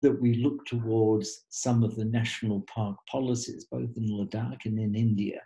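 Over a quiet background, a man with an Australian accent talks at a moderate pace in a dark, mellow, somewhat breathy tone. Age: 70s. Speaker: trekking guide and author. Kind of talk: webinar talk. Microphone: webcam.

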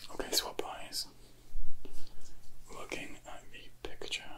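A soft-spoken man whispering at a very slow pace. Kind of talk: soft spoken role-play instructions. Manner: soft whispered clinical instructions.

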